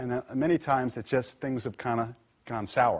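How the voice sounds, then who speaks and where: A man with a New York accent, medium pitch, against a quiet background. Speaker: corporate lawyer. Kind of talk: live presentation to audience. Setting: live event with audience, streamed. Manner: casual, conversational with fillers.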